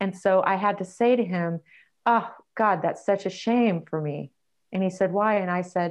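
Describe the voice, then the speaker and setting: A woman with an unremarkable speaking voice talks at a moderate pace and medium pitch. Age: 50s. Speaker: dating coach and author. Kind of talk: interview.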